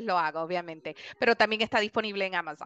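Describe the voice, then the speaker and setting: Speaking at a very fast pace, a woman with a Puerto Rican accent has a bright, sharp tone. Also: dry sound with no echo. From Puerto Rico (Guaynabo, near San Juan); Puerto Rico. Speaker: children's book author. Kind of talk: interview. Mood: warm, cheerful. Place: home room. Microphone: headset.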